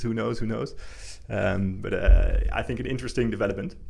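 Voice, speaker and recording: A man's flat, monotone voice with vocal fry and audible room echo. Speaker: investing livestream host. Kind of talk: livestream market commentary. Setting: livestream. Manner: fast; halting, many repetitions.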